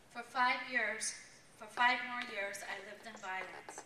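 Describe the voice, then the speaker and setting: A woman with an American accent talks at a moderate pace, her pitch fairly high. Noticeable background noise and audible room echo surround her. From New York. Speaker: nurse sharing her story as a former shelter client. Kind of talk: testimony. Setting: stage with audience at a fundraising event.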